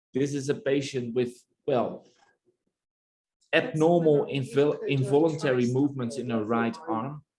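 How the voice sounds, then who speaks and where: In a Dutch accent, the speaker talks at a fairly slow pace with ordinary pitch variation and long, frequent pauses. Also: man, fairly high pitch for a man. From Netherlands. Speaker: neurologist. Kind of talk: lecture. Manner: halting.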